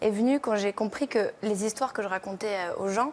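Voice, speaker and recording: Woman at a fairly high pitch, fairly quick pace, ordinary pitch variation. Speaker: singer-songwriter. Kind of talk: TV interview. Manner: fast, poor articulation.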